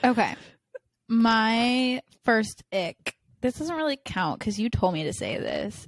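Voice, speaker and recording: With music in the background, a woman at a fairly high pitch talks very slowly with lively intonation, her sound dry and close with no echo. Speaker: podcast co-host. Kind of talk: casual chat. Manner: loud; animated.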